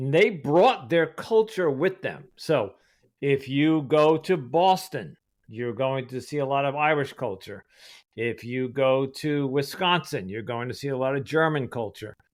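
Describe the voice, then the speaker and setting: A man with an American accent talks at a fairly slow pace and a fairly high pitch. He has an ordinary speaking voice, captured on a very clean recording with a silent background. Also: lively intonation. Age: 60s. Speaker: podcast host. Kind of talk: interview.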